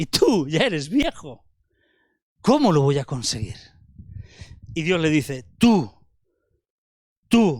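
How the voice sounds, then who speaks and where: A man speaks at a very slow pace in a fairly high voice, with long, frequent pauses. His pitch swings very widely. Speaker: preacher. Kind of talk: sermon.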